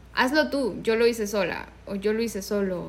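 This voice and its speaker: Audible room echo surrounds a woman talking fairly slowly. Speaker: podcast co-host. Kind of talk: casual chat.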